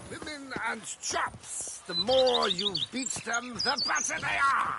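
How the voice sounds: A man's put-on character voice, extremely high-pitched with a bright, sharp tone, vocal fry, lively intonation and a slow pace, over faint background noise.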